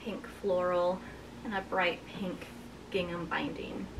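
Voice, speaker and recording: Noticeable background noise runs behind the recording. A woman talks at a very slow pace. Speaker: quilting vlogger. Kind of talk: casual vlog chat. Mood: cheerful and warm. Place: home room.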